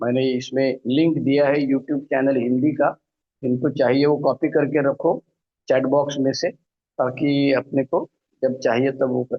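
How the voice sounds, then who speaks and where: His pitch is medium and his loudness very even. The man delivers everything in a monotone, flat intonation. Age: 60s. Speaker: recovering alcoholic speaker, retired law professor. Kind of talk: recovery testimony. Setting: online meeting from home, alone.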